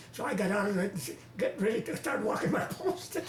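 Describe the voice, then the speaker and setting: A man's high-pitched voice with very wide pitch swings, set against noticeable background noise. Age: 80s+. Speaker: war veteran. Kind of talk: interview answer.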